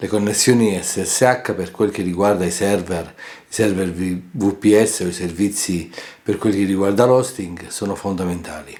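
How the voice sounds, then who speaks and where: A man with a fairly low pitch and fairly even intonation speaks over noticeable background noise. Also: moderate pace. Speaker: tech tutorial creator. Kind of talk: tutorial. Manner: halting.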